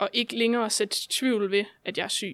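On a very clean recording with a silent background, a woman with a normal speaking voice talks at a fairly slow pace with a fairly high pitch and fairly even intonation. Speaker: guest with chronic illnesses. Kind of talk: casual interview.

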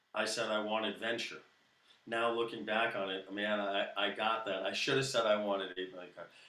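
At a fairly quick pace, a man with an American accent speaks at fairly low pitch with a bright, sharp tone and fairly even intonation, amid audible room echo. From US Northeast, Brooklyn, New York. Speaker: musician, guitarist and singer-songwriter. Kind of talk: casual interview chat.

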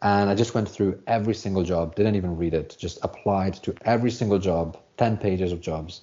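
A man with a British accent, fairly low in pitch, fairly quick, with fairly even intonation and hardly any pauses. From UK. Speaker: software developer, former English teacher. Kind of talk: casual interview.

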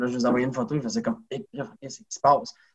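A man talks at a very fast pace with lively intonation. His voice is somewhat breathy. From Quebec, Saguenay region (rural). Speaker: professional wrestler. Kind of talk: interview conversation.

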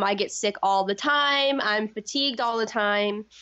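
Speaking at a moderate pace, a woman has an unremarkable speaking voice with a fairly high pitch. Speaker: former pageant contestant. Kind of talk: casual interview chat.

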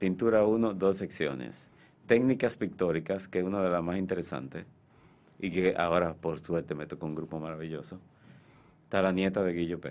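A man speaks at a moderate pace in a very deep, low pitch with ordinary pitch variation. The recording is very clean, with a silent background. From Dominican Republic, Santiago. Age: 60s. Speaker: painter and art teacher. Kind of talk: radio interview. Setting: radio studio.

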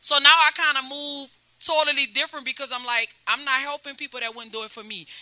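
A woman's raised, projected voice is high-pitched with a bright, sharp tone and fairly even intonation. She speaks very fast, with big swings in loudness. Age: 40s. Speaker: hip-hop artist. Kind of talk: casual chat. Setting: studio.

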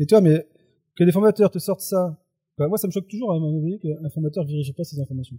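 Talking at a very fast pace, a man with a high pitch and a dark, mellow tone sounds dry and close, with no echo. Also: ordinary pitch variation. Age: 40s. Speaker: youth work trainer and blogger. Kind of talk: casual chat. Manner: halting.

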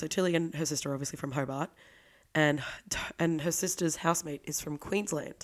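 Speaking at a fairly quick pace with an Australian accent, a woman uses a fairly low pitch in a very clean recording with a silent background. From Australia, Victoria. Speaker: podcast co-host. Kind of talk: casual chat.

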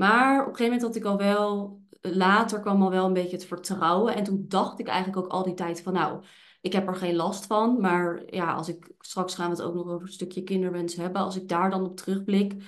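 Audible room echo surrounds a woman talking at a fairly quick pace. Her pitch is medium, and her intonation fairly even. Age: 20s. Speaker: podcast host and hormone therapist with PCOS. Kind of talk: casual chat. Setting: office.

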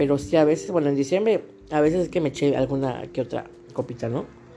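Over background music, a woman with a very deep, low voice talks at a very fast pace with lively intonation. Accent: Mexican. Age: 30s. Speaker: podcaster with fibromyalgia. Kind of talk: personal vlog monologue.

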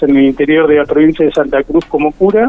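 A man has an unremarkable speaking voice, fairly high in pitch and with ordinary pitch variation. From Buenos Aires province, Argentina. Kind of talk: radio interview. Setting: phone call.

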